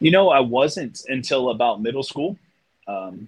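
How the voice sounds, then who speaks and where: A man with an American accent and a normal speaking voice, at a moderate pace with ordinary pitch variation. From US Mid-Atlantic, outside Washington DC. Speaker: artist. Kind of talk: casual chat.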